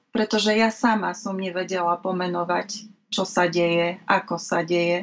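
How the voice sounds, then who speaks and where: In a plain, everyday voice, a woman speaks at a fairly slow pace, medium in pitch with fairly even intonation. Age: 30s. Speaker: mental health peer consultant. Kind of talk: interview. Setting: video call.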